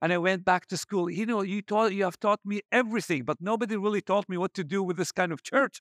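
Talking very fast with hardly any pauses, a man with a high pitch and ordinary pitch variation comes through in a dry, close sound with no echo. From Iraq, Baghdad. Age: 40s. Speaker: pastor. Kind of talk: sermon. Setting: church. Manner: halting.

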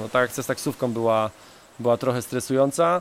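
A man talks at a fairly quick pace in a normal speaking voice, his pitch medium. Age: 30s. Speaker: travel podcaster. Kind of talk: casual monologue. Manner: repeats words often.

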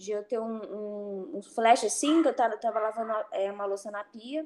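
In an unremarkable speaking voice, a woman talks at a fairly slow pace, her fairly high pitch showing ordinary variation. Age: 30s. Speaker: HR worker in logistics, former soldier. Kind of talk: casual chat.

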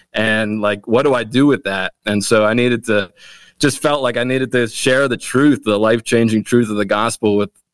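A man talks at a fairly quick pace in a plain, everyday voice, medium in pitch with fairly even intonation, and the sound is dry and close with no echo. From Wilmington, Delaware, US. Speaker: pastor. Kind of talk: casual chat.

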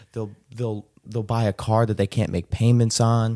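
A man with a normal speaking voice at a fairly low pitch and moderate pace, on a very clean recording with a silent background. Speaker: podcast host. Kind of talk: casual interview chat.

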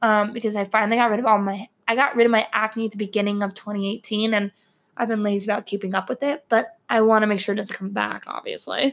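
This woman's voice sits fairly high in pitch. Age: 20s. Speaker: podcaster. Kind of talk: personal monologue. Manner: hesitant, many fillers.

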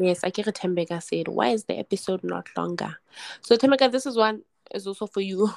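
A woman's medium-pitched voice, very fast, with ordinary pitch variation and a dry, close sound free of echo. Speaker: podcast co-host. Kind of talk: casual chat. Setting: video call.

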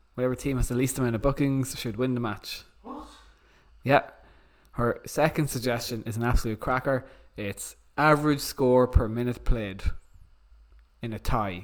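A man with an Irish accent talks with fairly even intonation and long, frequent pauses. His loudness swings a lot. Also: medium pitch for a man, moderate pace. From Ireland. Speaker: podcast host. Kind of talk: casual chat.

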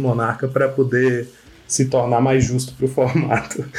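A man is speaking. His voice is somewhat breathy. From Bahia, Brazil. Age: 30s. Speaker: Magic card game player. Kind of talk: casual chat.

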